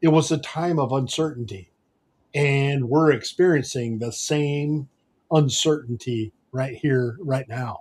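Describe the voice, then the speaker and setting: The man's pitch is fairly high and his voice somewhat breathy. He speaks at a fairly slow pace. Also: ordinary pitch variation. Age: 70s. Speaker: podcast host. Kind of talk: podcast interview.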